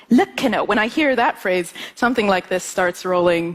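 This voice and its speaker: Lively intonation from a woman at a medium pitch, at a fairly slow pace, with noticeable background noise. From Ethiopian American family, US. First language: Amharic. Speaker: musician and composer. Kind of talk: talk to an audience.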